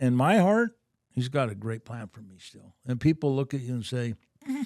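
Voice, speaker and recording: A man with an unremarkable speaking voice, medium in pitch, ordinary pitch variation and big swings in loudness, at a moderate pace, with dry, close sound and no echo. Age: 60s. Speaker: businessman and author. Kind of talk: casual interview chat.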